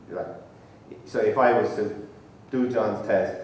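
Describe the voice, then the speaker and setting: A man with an Irish accent, with audible room echo and noticeable background noise. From Ireland, Tipperary. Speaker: professor, conference speaker. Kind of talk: lecture. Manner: conversational, informal.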